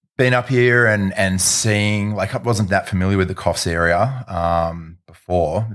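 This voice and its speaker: A man with an Australian accent and a fairly low pitch, in a very clean recording with a silent background. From Sydney, Australia. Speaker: event producer. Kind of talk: casual chat.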